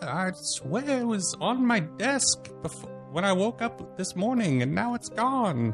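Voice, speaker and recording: Over clear background music, a put-on character voice speaks at a fairly slow pace. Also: man, high pitch for a man. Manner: exclaiming, flustered.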